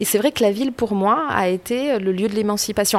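This woman's voice sits at a medium pitch with ordinary variation. She speaks at a fairly quick pace. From rural France. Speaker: political scientist. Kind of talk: interview. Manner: hesitant, repeats words.

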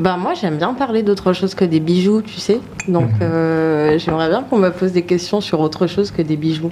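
Against noticeable background noise, a woman speaks at a moderate pace with a fairly low pitch and ordinary pitch variation. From Guadeloupe. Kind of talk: casual interview on a livestream. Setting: studio livestream with camera. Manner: hesitant, many fillers.

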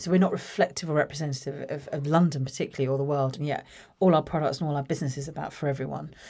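Speaking very fast with a southern English accent, a woman has a very deep, low pitch and a dark, mellow tone. Her intonation is fairly even, on a very clean recording with a silent background. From southern England, Watford. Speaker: creative business executive. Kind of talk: interview conversation.

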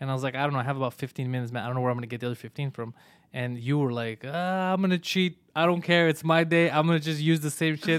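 Speaking at a very fast pace, a man has a clear, smooth tone, medium pitch and fairly even intonation, on a very clean recording with a silent background.

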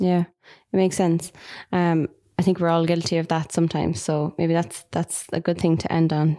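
A woman's fairly low voice with an Irish accent, dark and mellow in tone, at a moderate pace with fairly even intonation and very even loudness. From Ireland. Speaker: marketing podcast co-host. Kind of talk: casual chat.

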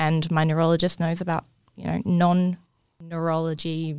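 With an Australian accent, a woman talks at a moderate pace in a very deep, low pitch with fairly even intonation. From far north Queensland, Australia. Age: 20s. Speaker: health department worker living with MS. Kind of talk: casual interview. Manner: halting, word-finding pauses.

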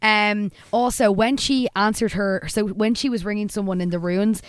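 In an Irish accent, a woman speaks at a medium pitch. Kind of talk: casual chat, recapping a TV episode.

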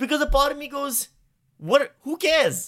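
A raised, projected voice with a bright, sharp tone moves at a moderate pace. The recording is very clean with a silent background. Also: man. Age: 40s. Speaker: comedian. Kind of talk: casual chat.

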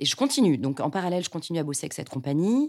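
A woman at a very fast pace, fairly low in pitch, with very wide pitch swings. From Paris western suburbs, France. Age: 40s. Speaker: actress and stage director. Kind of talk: personal testimony. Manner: hesitant, with fillers.

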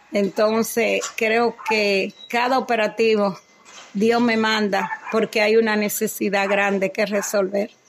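Over noticeable background noise, a woman speaks at a very slow pace. Her fairly high voice stays monotone and flat. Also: very even loudness. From Dominican Republic. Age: 70s. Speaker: cardiologist. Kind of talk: testimony. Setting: at her home.

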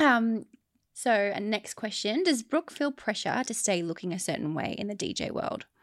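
A woman with an Australian accent speaks at a moderate pace with lively intonation on a very clean recording with a silent background. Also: fairly high pitch for a woman. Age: 30s. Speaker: podcast host. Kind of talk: interview questions; casual chat.

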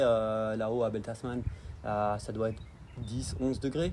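A man's voice carries an audible room echo. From France, Dijon (Burgundy). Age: 30s. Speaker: outdoor guide and business owner. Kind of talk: casual interview.

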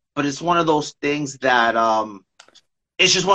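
A man speaks with a New York accent. His pace is moderate and his intonation lively. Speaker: poet and co-host. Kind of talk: poetry reading and casual chat. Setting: live video stream.

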